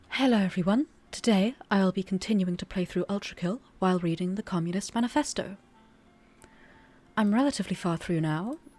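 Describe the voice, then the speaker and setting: A woman with a medium pitch talks at a fairly quick pace with ordinary pitch variation. Music plays in the background, and she pauses long and often. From British. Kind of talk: casual talk to camera.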